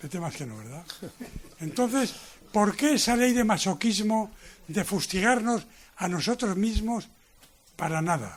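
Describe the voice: Pausing long and often, a man with a high voice for a man speaks at a fairly slow pace with lively intonation.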